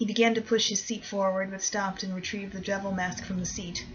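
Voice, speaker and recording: A woman talks at a fairly quick clip. Her intonation is monotone and flat. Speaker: amateur audiobook reader. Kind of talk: horror short story reading.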